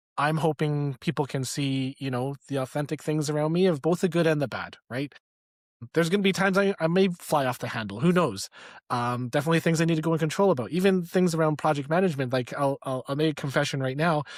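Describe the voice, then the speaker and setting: With a Canadian accent, a man with a fairly high pitch talks at a very fast pace and ordinary pitch variation, in a dry, close recording with no echo that is very clean against a silent background. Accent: northern (Canadian). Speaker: leadership coach. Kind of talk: interview podcast chat.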